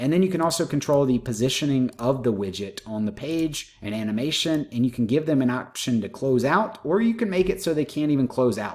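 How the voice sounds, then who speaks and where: Here a man speaks at a moderate pace with a fairly high pitch and lively intonation. He has an ordinary speaking voice. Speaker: YouTuber teaching online marketing tools. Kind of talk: screen-share tutorial.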